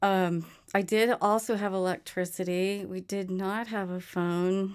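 This woman has a normal speaking voice at medium pitch with fairly even intonation. It's a very clean recording, over a silent background. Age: 60s. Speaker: musician. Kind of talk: interview.

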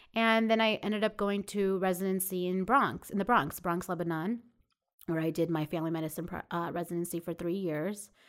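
Speaking fairly quickly with a New York accent, a woman has a medium-pitched voice and ordinary pitch variation on a very clean recording with a silent background. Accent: New York American. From Long Island, New York. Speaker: family physician. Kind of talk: interview.

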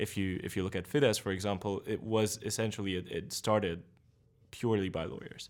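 A man with a Hungarian accent talks at a fairly quick pace with fairly even intonation. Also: fairly low pitch for a man. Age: 20s. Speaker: party spokesperson. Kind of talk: interview.

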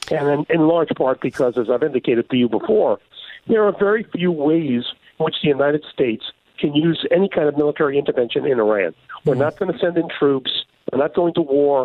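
An unremarkable speaking voice keeps a very even loudness and ordinary pitch variation. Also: man, fairly high pitch for a man. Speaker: foreign policy commentator. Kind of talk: interview.

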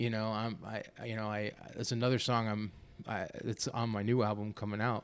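With an American accent, a man speaks at a fairly quick pace in a fairly low voice with monotone, flat intonation. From Florida. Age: 30s. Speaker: musician. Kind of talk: casual chat.

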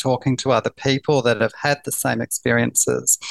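Recorded dry and close with no echo against a quiet background, a man speaks with a New Zealand accent. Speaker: palliative care nurse. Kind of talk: interview.

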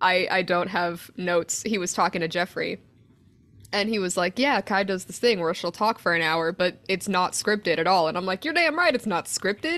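Pitch varies in an ordinary way as the words come at a moderate speed. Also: woman, medium pitch for a woman. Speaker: podcaster. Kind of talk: casual chat, profane banter. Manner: animated, profane, jokey.

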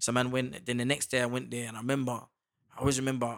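Very fast speech with a British accent comes in a flat, monotone delivery on a very clean recording with a silent background. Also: man. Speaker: actor. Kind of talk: casual chat.

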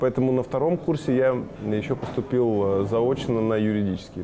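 A man talks at a medium pitch. He has an ordinary speaking voice. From Kazakhstan (Shymkent), then Moldova from age ~10. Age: 30s. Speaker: marketing director. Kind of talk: interview.

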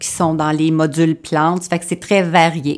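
Flat, monotone intonation marks this voice with a Quebec accent. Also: woman. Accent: Québécois French. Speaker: florist teacher. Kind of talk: radio interview. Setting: studio.

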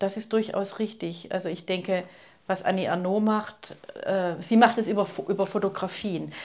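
A woman's medium-pitched voice, monotone and flat, at a moderate pace. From Swabia, southern Germany (Ulm). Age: 60s. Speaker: poet and novelist. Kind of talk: interview. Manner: hesitant, with fillers.

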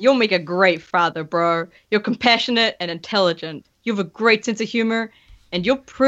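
Against a quiet background, the speaker reads aloud in a natural voice, pitch varying in an ordinary way.

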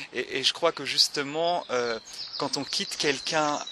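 A man with a fairly high pitch speaks with ordinary pitch variation over noticeable background noise. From France, Le Mans. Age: 30s. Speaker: artist and theatre director. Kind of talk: interview conversation. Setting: outdoors in a park. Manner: halting.

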